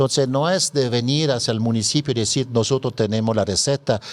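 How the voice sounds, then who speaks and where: A man talks fairly quickly in a mid-range pitch, his pitch varying in an ordinary way. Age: 60s. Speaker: NGO president. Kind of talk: radio interview. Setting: radio studio. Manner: halting, many fillers.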